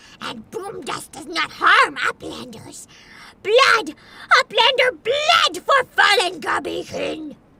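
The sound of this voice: A woman puts on a menacing character voice at an extremely high pitch. She speaks fairly slowly, her pitch swinging very widely.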